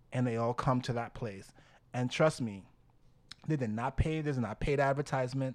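On a very clean recording with a silent background, a man of medium pitch talks in an animated tone at a moderate pace, with long, frequent pauses. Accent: New York. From Dominican Republic, raised in New York from age seven. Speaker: cheer team co-founder. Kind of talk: casual chat. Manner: animated, laughs often.

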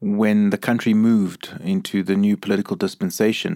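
A man with an ordinary speaking voice talks at a medium pitch and a moderate pace, with ordinary pitch variation. The recording is very clean, with a silent background. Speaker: podcast host and Jesuit priest. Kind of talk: interview. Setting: in-person recording.

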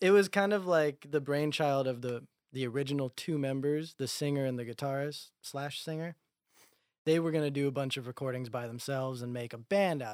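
A man speaks in an unremarkable speaking voice with fairly high pitch and ordinary pitch variation. His pace is fairly quick with big swings in loudness, in a very clean recording with a silent background. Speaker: musician. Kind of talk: casual chat.

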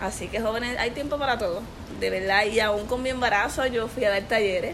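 Through noticeable background noise and audible room echo, a woman speaks at a fairly high pitch with fairly even intonation. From Puerto Rico, Corozal. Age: 20s. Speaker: women's ministry leader. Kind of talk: interview.

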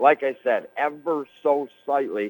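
A plain, everyday voice with an American accent and ordinary pitch variation. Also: man. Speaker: radio play-by-play announcer. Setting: radio broadcast from gym. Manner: chatty and folksy between plays.

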